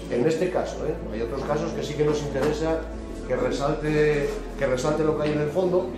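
Fairly quick speech from a man, with audible room echo and clear background music. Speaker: woodturning demonstrator. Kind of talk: tutorial. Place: workshop. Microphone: camera far.

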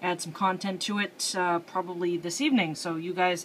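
Over light background noise, a woman uses a normal speaking voice at a fairly low pitch, with fairly even intonation and a moderate pace. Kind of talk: casual tutorial commentary. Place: home room. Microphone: phone near.

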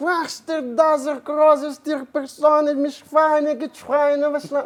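Using a put-on character voice, a woman talks at a fairly slow pace in a high pitch, her intonation monotone and flat. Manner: mocking, gibberish imitation.

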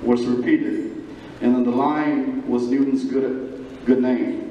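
A man is speaking in a room with audible echo. Light background noise sits underneath. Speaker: gala speaker reciting poem. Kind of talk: poetry reading at a gala event. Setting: live event hall. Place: hall.

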